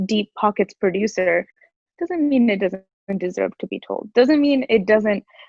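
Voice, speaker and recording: A woman with an American accent speaks at a fairly slow pace. Her pitch is fairly high and her intonation lively. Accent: American accent noted in India. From USA, Indian heritage. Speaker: actress. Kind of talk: interview. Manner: animated.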